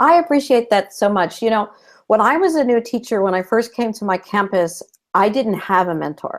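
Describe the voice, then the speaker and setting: With a Californian accent, a woman talks at a moderate pace with lively intonation and a fairly high pitch, on a very clean recording with a silent background. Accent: Californian American English. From Southern California. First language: Spanish. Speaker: retired school principal, new teacher advocate. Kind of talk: interview on a live video show.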